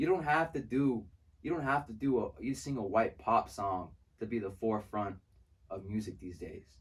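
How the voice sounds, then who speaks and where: At a moderate pace, a man with medium pitch speaks in a somewhat breathy voice with lively intonation. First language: Spanish. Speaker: music producer and songwriter. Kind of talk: casual interview chat. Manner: animated.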